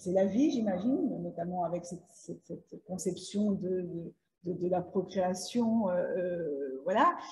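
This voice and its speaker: Somewhat breathy, a woman speaks at a very slow pace with medium pitch. Her pitch variation is ordinary. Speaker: literary show host. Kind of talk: interview questions.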